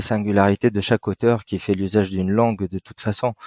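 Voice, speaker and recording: With an Arabic accent, a man speaks at a fairly quick pace in a dry, close sound with no echo. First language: Arabic (speaking French). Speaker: writer. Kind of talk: interview. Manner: hesitant, many fillers.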